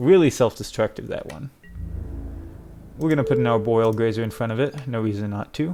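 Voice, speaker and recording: A man is talking at moderate speed. Behind him, there is music. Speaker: gaming content creator. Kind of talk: gameplay commentary. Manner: casual, thinking aloud.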